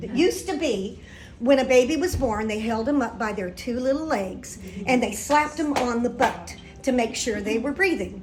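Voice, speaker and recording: A high-pitched woman's voice, animated in tone with lively intonation, at a moderate pace amid audible room echo and background music. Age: 70s. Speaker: singer and keynote speaker. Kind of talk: keynote speech.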